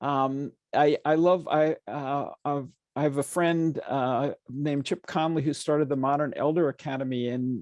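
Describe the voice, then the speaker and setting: A man with an ordinary speaking voice talks at a fairly slow pace in a fairly high pitch for a man, with ordinary pitch variation and a dry, close sound with no echo over a quiet background. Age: 60s. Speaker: nonprofit founder and CEO. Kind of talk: panel conversation. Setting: stage with audience.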